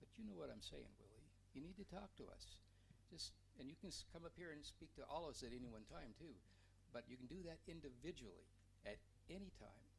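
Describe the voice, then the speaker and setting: A man at a fairly quick pace, with long, frequent pauses and audible room echo. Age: 70s. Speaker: city council member. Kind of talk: council meeting remarks. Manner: halting.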